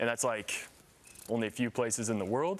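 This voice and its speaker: The speaker has an American accent and lively intonation. It is an ordinary speaking voice. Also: man. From US Midwest, Indiana. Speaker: model and content creator. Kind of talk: TV interview. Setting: live TV studio.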